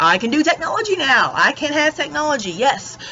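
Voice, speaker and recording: A woman speaks with lively intonation in a Southern US accent. Background noise is noticeable. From Texas, Dallas-Fort Worth. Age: 20s. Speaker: YouTuber and hairdresser. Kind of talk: casual vlog monologue. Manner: animated, filler-heavy.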